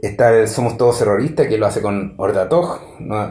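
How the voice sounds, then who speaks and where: With a Chilean accent, a man talks at a moderate pace in a dark, mellow, somewhat breathy tone and lively intonation, against a quiet background with audible room echo. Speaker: music reviewer. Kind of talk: solo review monologue; casual commentary, album review. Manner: halting, many fillers.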